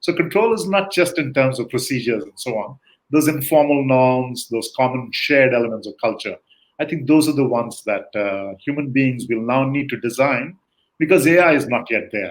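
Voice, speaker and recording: At a moderate pace, a man speaks with medium pitch in a normal speaking voice. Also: ordinary pitch variation. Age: 60s. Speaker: guest expert on leadership. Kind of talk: interview conversation.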